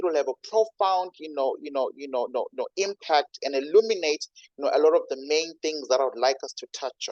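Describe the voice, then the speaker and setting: Fairly quick speech with a dry, close sound and no echo. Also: man. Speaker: university lecturer. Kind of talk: lecture. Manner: fast; animated.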